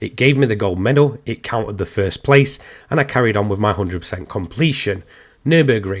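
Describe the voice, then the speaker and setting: This speaker has an English accent. The intonation is lively. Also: man, very clean recording, silent background. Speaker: gaming YouTuber. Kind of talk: gaming commentary video. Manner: casual, with many fillers.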